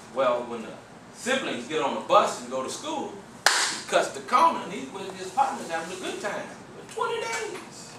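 Noticeable background noise and audible echo from the room come through as a man talks. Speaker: workshop trainer. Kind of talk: training talk with storytelling. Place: meeting room. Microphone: camera far.

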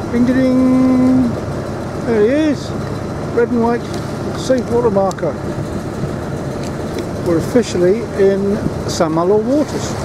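A man's speech broken by long, frequent pauses over loud background noise. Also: fairly slow pace, dry sound with no echo. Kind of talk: casual vlog chat. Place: boat. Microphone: phone near.

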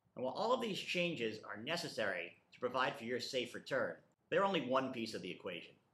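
At a very fast pace, a man speaks at medium pitch with very wide pitch swings and big swings in loudness. His tone is bright and sharp, and audible room echo surrounds it. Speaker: school principal. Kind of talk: welcome address. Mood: calm, reassuring. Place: office.

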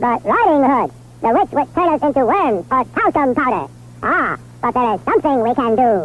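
Against light background noise, a cartoonish character voice comes through at a fairly high pitch. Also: moderate pace. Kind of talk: cartoonish comic dubbing. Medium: short film. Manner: excited, fast, fretful.

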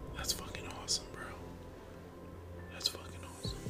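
This man talks while loud music fills the background. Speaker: streamer. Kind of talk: ASMR video. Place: home room. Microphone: studio mic.

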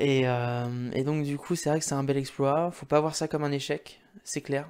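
A moderate pace, with a quiet background. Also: man. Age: 20s. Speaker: gaming YouTuber. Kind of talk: casual monologue to camera. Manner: halting, many fillers. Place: home room. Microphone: studio mic.

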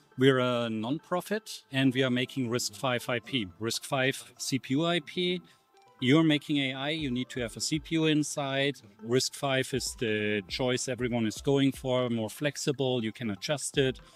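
A man speaks at a fairly slow pace with ordinary pitch variation. The sound is dry with no echo, and faint music plays in the background. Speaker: guest. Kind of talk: interview answer. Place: cafe. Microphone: handheld.

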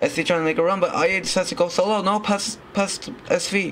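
A man with a high pitch at a moderate pace. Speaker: sports commentator. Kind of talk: live commentary on a Roblox football match. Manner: animated, exclaiming and laughing at goals.

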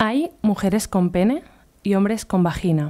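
A woman at a very slow pace, dark and mellow in tone, over a quiet background. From Catalonia, near Barcelona. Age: 20s. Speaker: illustrator and artist; speaker. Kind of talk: conference talk. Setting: stage with audience. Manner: casual, hesitant. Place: hall. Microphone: podium.

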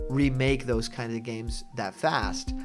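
Over music in the background, a man talks at medium pitch with ordinary pitch variation. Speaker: gaming commentary YouTuber. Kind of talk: casual talk to camera. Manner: conversational, enthusiastic.

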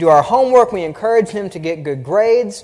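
A man talks in a Southern US accent. His intonation is lively. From US South. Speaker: preacher. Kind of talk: sermon. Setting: church. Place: church. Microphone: podium.

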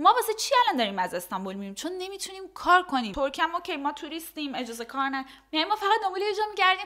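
In a raised, projected voice of extremely high pitch, a woman races along at a very fast pace with hardly any pauses, very wide pitch swings and a bright, sharp tone over a quiet background. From Iran. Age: 20s. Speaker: influencer and model; influencer. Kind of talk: casual interview. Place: home room. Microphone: studio mic.

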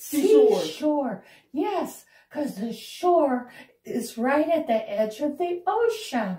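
A cartoonish character voice with a high pitch and very wide pitch swings moves at a very slow pace, with audible echo. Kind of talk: children's educational show dialogue. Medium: puppet show. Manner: patient, teacherly.

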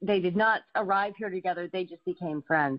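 In an American accent, a woman speaks in a plain, everyday voice at a medium pitch with ordinary pitch variation. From Colorado and Florida. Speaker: animal sanctuary co-founder. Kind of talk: casual interview.

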